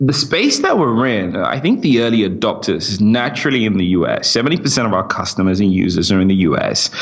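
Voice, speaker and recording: A man with an American accent at a medium pitch, going at a very fast pace with hardly any pauses, over noticeable background noise. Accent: British with slight American twang. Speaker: startup CEO and co-founder, former enterprise sales rep. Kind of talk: podcast interview. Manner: hesitant, many fillers and repetitions.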